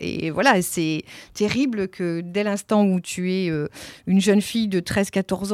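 A woman speaks at a medium pitch with fairly even intonation in a very clean recording with a silent background. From France, Nantes. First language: Italian (speaking French). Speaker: theatre director. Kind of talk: interview. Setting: office. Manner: hesitant, many fillers.

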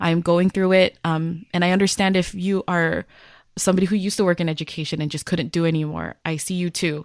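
A woman speaks fairly quickly at a fairly low pitch in a monotone, flat intonation. The recording is very clean with a silent background and a dry, close sound with no echo. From US, Filipino-American. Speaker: educator and podcast co-host. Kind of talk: casual chat.

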